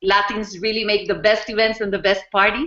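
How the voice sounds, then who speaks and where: A woman speaks with a Spanish accent. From Costa Rica. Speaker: network marketing distributor. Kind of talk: testimony. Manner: halting, many fillers.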